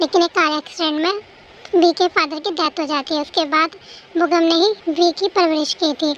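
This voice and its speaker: Dry and close with no echo, a woman speaks at a moderate pace in an extremely high pitch. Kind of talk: fan story narration. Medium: read story. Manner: calm, explanatory.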